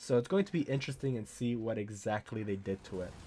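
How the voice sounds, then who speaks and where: A man speaks at a fairly quick pace with a medium pitch. His tone is dark and mellow, with ordinary pitch variation. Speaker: gaming YouTuber. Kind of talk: video game news commentary.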